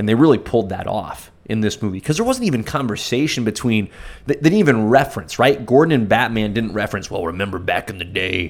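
A man talks at a very fast pace with hardly any pauses. His pitch is medium with ordinary variation. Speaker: podcast co-host. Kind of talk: casual chat. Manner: enthusiastic, chatty.

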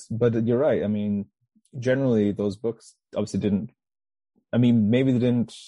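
A man's medium-pitched, dark and mellow voice, monotone and flat, at a moderate pace with long, frequent pauses, over a quiet background. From Manchester, England. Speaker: author and public speaker. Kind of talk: casual interview chat.

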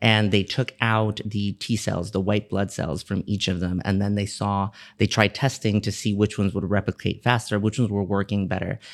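A man with an American accent speaks in a monotone with flat intonation, and the sound is dry and close with no echo. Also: fairly low pitch for a man, moderate pace, hardly any pauses, very clean recording, silent background. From Miami, Florida. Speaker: pediatrician. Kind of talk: podcast interview.

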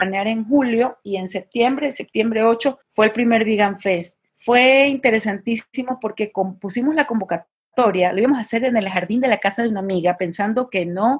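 At a moderate pace with hardly any pauses, the somewhat breathy voice shows ordinary pitch variation. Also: woman. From Ecuador, Guayaquil. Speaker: vegan festival founder. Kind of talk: interview conversation. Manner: halting.

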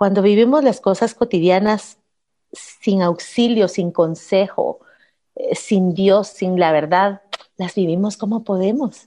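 Her medium-pitched voice has a dark, mellow tone, and the woman moves at a fairly slow pace with ordinary pitch variation. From Guatemala. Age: 40s. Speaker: radio host. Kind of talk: personal testimony.

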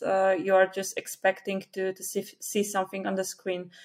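In a Polish accent, a woman speaks at a moderate pace with a medium pitch. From Poland. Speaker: Flutter developer and conference speaker. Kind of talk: casual interview. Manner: hesitant, many fillers.

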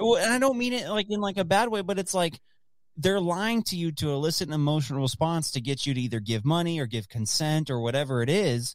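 Recorded very cleanly against a silent background, a man with a fairly high pitch talks at a very fast pace, his pitch swinging very widely. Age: 20s. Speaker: podcast host. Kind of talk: casual chat.

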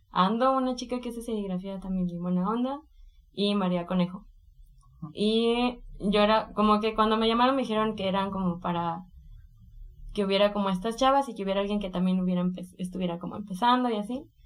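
Speaking at a fairly quick pace, a woman uses a normal speaking voice of medium pitch with ordinary pitch variation. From Mexico, Colima. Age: 20s. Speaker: illustrator and art workshop teacher. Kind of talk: interview.

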